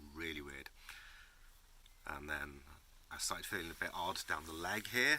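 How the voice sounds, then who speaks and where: A man speaks with a very deep, low pitch and a bright, sharp tone. His pitch varies in an ordinary way. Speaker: YouTuber. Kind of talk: casual vlog talk. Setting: workshop shed. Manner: slow.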